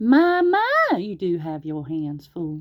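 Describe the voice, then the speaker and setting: A female-sounding voice puts on a character, pitched fairly low. The delivery is fairly slow. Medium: read story.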